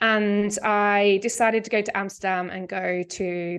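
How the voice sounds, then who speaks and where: A woman with an English accent speaks at a medium pitch. The background is quiet. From England. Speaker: medical cannabis educator. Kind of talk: podcast interview.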